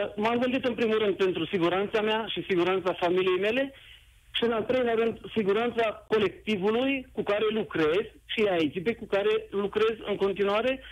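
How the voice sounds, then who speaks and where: A man's high pitch at a moderate pace, with ordinary pitch variation. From Romania, Bacău (Moldavia). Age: 40s. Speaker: radio caller. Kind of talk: call-in on live radio.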